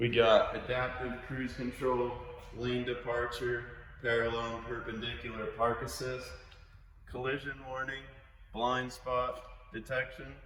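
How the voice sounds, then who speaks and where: Pausing long and often, a man with a medium pitch speaks in a monotone, flat way amid noticeable background noise and audible room echo. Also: fairly slow pace. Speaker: car salesman. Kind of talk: sales pitch.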